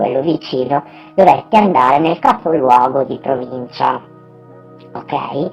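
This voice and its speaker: Over music in the background, a woman with a northern Italian accent speaks at a very deep, low pitch, fairly slowly, with lively intonation. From northern Italy. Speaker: vlogger sharing life experiences. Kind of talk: personal testimony. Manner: hesitant, with fillers.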